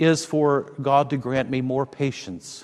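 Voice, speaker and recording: A man with an unremarkable speaking voice, fairly high in pitch, at a fairly slow pace. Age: 60s. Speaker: pastor. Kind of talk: sermon.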